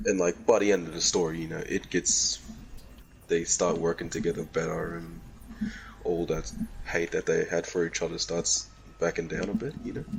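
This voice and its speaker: Noticeable background noise sits behind a man's voice. He talks at a moderate pace with long, frequent pauses. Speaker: gaming video host. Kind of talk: casual chat.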